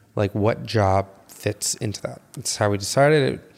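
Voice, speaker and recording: With an American accent, a man talks at a moderate pace in an ordinary speaking voice with a fairly low pitch. The recording is very clean, with a silent background. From US Midwest, Chicago south suburbs. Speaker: podcast co-host, photographer. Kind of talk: casual chat.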